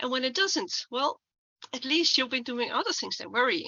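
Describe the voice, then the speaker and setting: This woman speaks at a moderate pace in a high pitch, her intonation lively. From Netherlands. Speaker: stuttering activist and keynote speaker. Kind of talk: conference talk.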